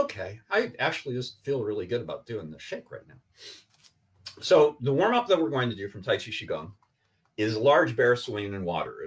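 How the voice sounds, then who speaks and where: With big swings in loudness, a man delivers his words at a fairly quick pace. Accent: Iowan. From Iowa, USA. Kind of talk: instructional, warm.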